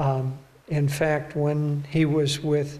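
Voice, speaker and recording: A man's somewhat breathy, fairly high voice at a very slow pace. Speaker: spiritual teacher. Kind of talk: talk and Q&A answers.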